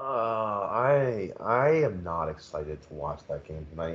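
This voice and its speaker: This is a man's voice. He has a slight Philadelphia accent. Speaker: podcast co-host. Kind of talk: casual chat.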